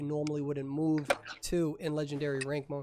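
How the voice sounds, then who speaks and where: An animated tone with an East Coast US accent over music in the background. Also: man. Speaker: esports tournament emcee and commentator. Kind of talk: live commentary.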